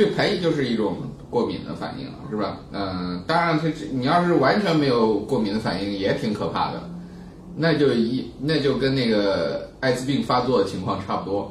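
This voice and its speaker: Amid noticeable background noise and audible room echo, a man at a medium pitch speaks at a moderate pace with very wide pitch swings. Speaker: science writer and plant expert. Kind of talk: casual chat. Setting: office recording with handheld recorder. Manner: animated.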